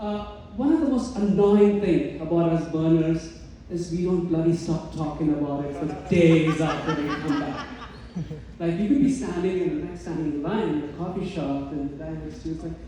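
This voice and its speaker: Amid noticeable background noise and audible room echo, a man with an Indian accent speaks at a moderate pace and high pitch, with ordinary pitch variation. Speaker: stand-up comedian. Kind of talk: stand-up. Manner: animated.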